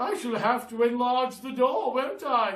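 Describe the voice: In a put-on character voice, a man speaks at an extremely high pitch with lively intonation and a fairly bright tone, at a fairly slow pace amid audible room echo.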